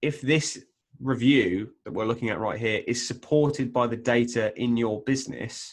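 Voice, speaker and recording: A man at medium pitch, with ordinary pitch variation and a moderate pace. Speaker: software sales presenter. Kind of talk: webinar presentation. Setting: online webinar. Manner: hesitant, many fillers.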